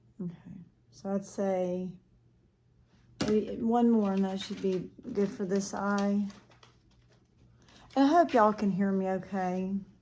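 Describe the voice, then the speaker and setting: Soft-spoken and dark, mellow in tone, a woman at medium pitch talks at a fairly slow pace with fairly even intonation and long, frequent pauses. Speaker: makeup vlogger. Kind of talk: makeup tutorial. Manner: casual, thinking aloud.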